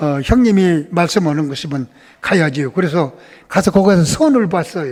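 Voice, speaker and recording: This man's voice sits high in pitch, with lively intonation at a moderate pace. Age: 80s+. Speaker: church elder. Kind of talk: testimony.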